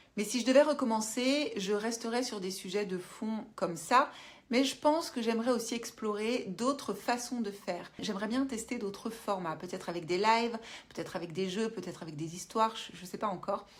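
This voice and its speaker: A woman's fairly high voice, with ordinary pitch variation and big swings in loudness. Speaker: YouTuber, business coach. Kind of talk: casual monologue to camera. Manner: fast; hesitant with fillers.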